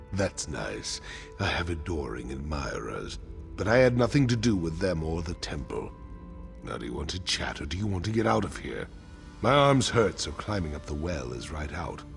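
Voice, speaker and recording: A man puts on a character voice with a very deep, low pitch and very wide pitch swings. He goes at a moderate pace while clear music plays in the background. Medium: video game. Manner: taunting, defiant.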